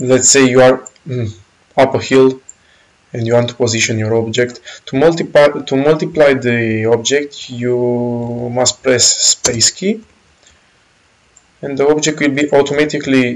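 This man talks fairly slowly with a Romanian accent, leaving long, frequent pauses. His pitch is medium and his intonation fairly even. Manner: casual, explanatory walkthrough with filler phrases.

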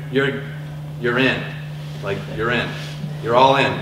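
A man's fairly even intonation comes through amid noticeable background noise. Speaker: school dean on a panel. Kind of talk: panel presentation to parents. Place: hall.

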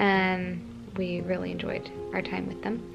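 Clear music plays in the background. A woman speaks at a fairly slow pace. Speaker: vlogger. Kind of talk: casual vlog chat. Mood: calm, a bit subdued. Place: home room. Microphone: phone near.

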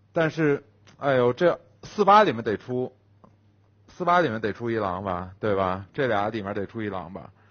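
The speaker has an animated tone and a moderate pace, with long, frequent pauses. The background is quiet. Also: man, medium pitch for a man, lively intonation. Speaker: werewolf game player. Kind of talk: casual game banter. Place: studio. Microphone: headset.

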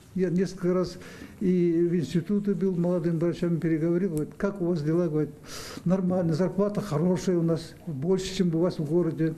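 A man's high-pitched voice, fairly even in intonation, at a fairly quick pace. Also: very even loudness. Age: 70s. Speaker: rural doctor. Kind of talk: interview answer. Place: office. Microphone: handheld.

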